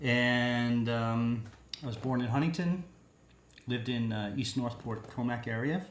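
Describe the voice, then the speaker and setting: A man with a Long Island accent at a medium pitch and a fairly slow pace, with ordinary pitch variation and audible room echo. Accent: New York (Long Island). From Long Island, New York. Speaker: singer-songwriter. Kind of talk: interview.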